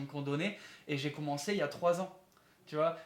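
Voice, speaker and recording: Pitched rather high, a man speaks with intonation that stays fairly level. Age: 20s. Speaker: fitness youtuber interviewer. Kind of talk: interview. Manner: hesitant, many fillers.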